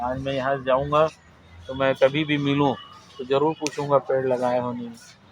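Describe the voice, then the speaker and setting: A man talks at a medium pitch while noticeable background noise carries on behind him. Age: 60s. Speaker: retiring school principal. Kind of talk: farewell speech to students.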